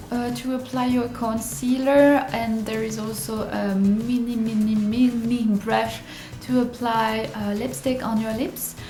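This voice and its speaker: A woman with a non-native accent at a fairly slow pace and fairly high pitch, fairly even in intonation, with audible room echo and noticeable background noise. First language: not English. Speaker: beauty vlogger. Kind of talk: tutorial. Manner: halting, many fillers.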